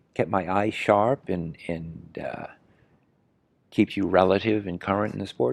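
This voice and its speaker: The voice moves at a moderate pace. The sound is dry and close with no echo, over a quiet background. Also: man. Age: 60s. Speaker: horse riding trainer. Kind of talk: interview. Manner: halting, many fillers and repetitions.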